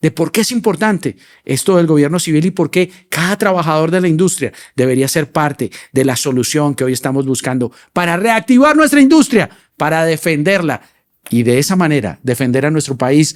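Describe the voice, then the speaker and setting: A man's voice with very wide pitch swings and a fairly quick pace, on a very clean recording with a silent background. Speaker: podcast host. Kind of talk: podcast interview.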